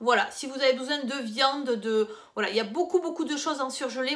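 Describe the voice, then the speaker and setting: Delivered fairly quickly, the speech shows ordinary pitch variation. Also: woman. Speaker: lifestyle vlogger. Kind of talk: casual haul video. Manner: soft-spoken.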